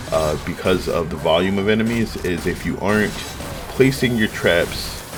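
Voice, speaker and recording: A man with ordinary pitch variation talks at a fairly slow pace as noticeable background noise continues. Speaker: gaming commentator. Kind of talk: gameplay commentary.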